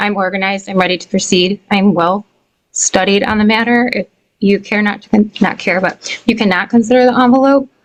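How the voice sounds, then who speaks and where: A woman with an American accent is soft-spoken. Her intonation is fairly even. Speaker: tenant. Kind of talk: court testimony. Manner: hesitant. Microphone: too quiet, hard to hear.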